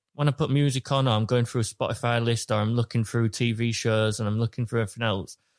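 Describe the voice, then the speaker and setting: Recorded dry and close with no echo, a man with a British accent speaks at a medium pitch. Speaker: podcast co-host. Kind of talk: casual chat.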